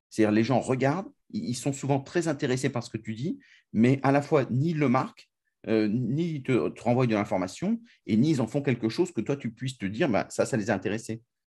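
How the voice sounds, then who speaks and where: Against a quiet background, a man talks fairly quickly at a medium pitch in a somewhat breathy voice with a dark, mellow tone. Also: ordinary pitch variation. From France. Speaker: podcast host. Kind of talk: interview.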